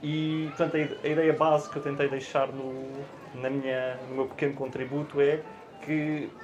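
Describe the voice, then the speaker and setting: Amid noticeable background noise and audible room echo, a man with a fairly high pitch and fairly even intonation speaks at a moderate pace. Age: 30s. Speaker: finance executive and guest lecturer. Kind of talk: panel discussion. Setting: book fair auditorium with audience. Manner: halting, many hesitations and repetitions.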